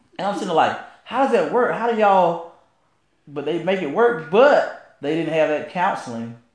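With a Southern US accent, a man speaks at a moderate pace. His pitch swings very widely, and audible room echo surrounds him. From rural US South. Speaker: podcast co-host. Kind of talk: casual chat. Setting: live stream.

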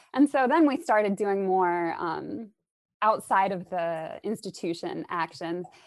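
A plain, everyday voice: a woman at medium pitch with lively intonation, in a General American accent, against a quiet background. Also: fairly slow pace. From Arizona, US. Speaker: English professor. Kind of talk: casual interview.

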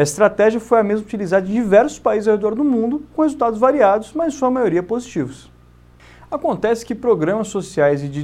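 This man has a Brazilian accent and a dark, mellow tone pitched high. He speaks at a fairly quick pace with very wide pitch swings. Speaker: bank manager. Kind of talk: scripted narration. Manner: formal.

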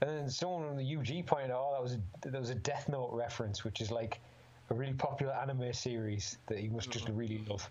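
A man with a Teesside accent, a medium pitch and ordinary pitch variation at a very fast pace, with audible room echo. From northern England, Middlesbrough. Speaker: MMA fighter. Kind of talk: casual chat.

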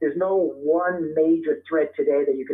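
In an ordinary speaking voice, a man with an American accent and fairly high pitch talks at a moderate pace with fairly even intonation. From US Northeast (Brooklyn, New York). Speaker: author and terrorism expert. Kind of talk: interview.

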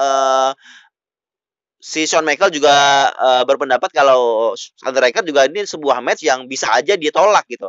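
A man speaks, his intonation lively. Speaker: podcast host. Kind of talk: solo wrestling news podcast. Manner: loud, shouting; hesitant with fillers.

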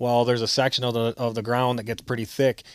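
Monotone, flat intonation marks this man speaking with an American accent at a fairly quick pace. The sound is dry and close, with no echo. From southern Michigan, Grass Lake. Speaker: deer hunter. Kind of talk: casual interview.

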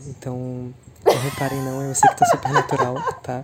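The speaker goes at a fairly slow pace. There is noticeable background noise. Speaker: former podcast co-host. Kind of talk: voice message.

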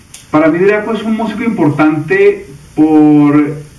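Audible room echo follows a man's voice, which shows ordinary pitch variation. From Colombia. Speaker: singer-songwriter. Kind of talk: recorded video tribute message.

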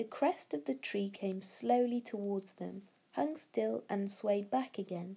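Lively intonation fills an unforced reading voice.

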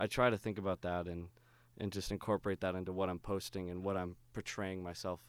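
A man with a very deep, low pitch talks at a fairly quick pace in a very clean recording with a silent background. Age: 20s. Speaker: youth minister and drummer. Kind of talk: casual chat.

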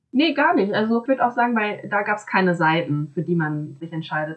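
A woman with a plain, everyday voice, medium pitch and moderate pace. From small town in Germany. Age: 20s. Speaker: master's student. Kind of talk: casual interview conversation.

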